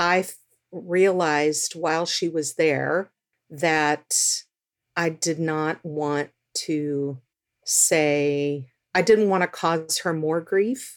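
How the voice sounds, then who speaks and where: A woman with an American accent speaks at a very deep, low pitch with fairly even intonation on a very clean recording with a silent background. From Texas. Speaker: birth mother and adoptee. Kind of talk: interview testimony.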